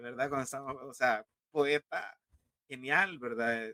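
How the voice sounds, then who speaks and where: A man's bright, sharp tone at a moderate pace. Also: dry, close sound with no echo. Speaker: science fiction writer. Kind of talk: casual chat.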